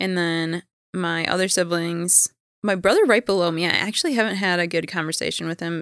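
A normal speaking voice at a fairly quick pace. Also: woman. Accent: American. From Minnesota. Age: 30s. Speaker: interview guest sharing her life story. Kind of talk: casual interview.

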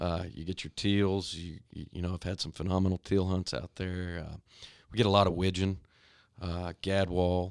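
With a Texan accent, a man talks at a fairly slow pace in a very deep, low pitch and a monotone, flat intonation, recorded very cleanly against a silent background with a dry, close sound and no echo. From Texas, Stephenville. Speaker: hunting guide. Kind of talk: casual chat. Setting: studio.

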